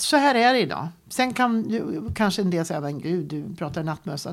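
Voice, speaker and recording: Her pitch medium, a woman speaks at a moderate pace with very wide pitch swings and vocal fry. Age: 60s. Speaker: career coach. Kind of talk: interview.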